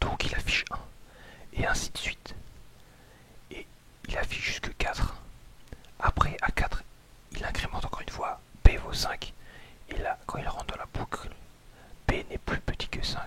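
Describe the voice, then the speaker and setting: A whisper at a moderate pace, broken by long, frequent pauses and big swings in loudness, over noticeable background noise. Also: man. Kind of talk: programming tutorial, ASMR whispered. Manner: whispered, soft-spoken.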